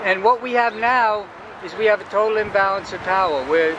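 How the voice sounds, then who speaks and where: A man speaks in a raised, projected voice with an American accent, at a moderate pace with ordinary pitch variation. Noticeable background noise runs underneath. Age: 60s. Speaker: military veteran and peace activist. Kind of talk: street interview. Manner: animated.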